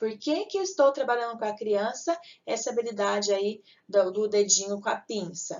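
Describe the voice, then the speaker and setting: Moderate pace from a woman with a fairly high voice and very wide pitch swings. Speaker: teacher. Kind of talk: lecture.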